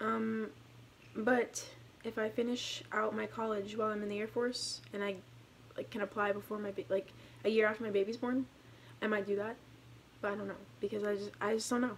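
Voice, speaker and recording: Over noticeable background noise, a woman at medium pitch talks at a fairly quick pace with fairly even intonation and long, frequent pauses. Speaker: active duty airman and vlogger. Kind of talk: casual vlog. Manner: fast; halting, many fillers.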